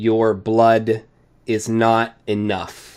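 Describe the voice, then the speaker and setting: A put-on character voice booms out loud. Its intonation stays monotone and flat. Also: man. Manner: ominous.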